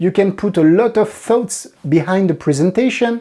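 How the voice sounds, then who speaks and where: A woman in a French accent, dark and mellow in tone, at a moderate pace with lively intonation. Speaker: magic trick reviewer. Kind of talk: product review. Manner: halting.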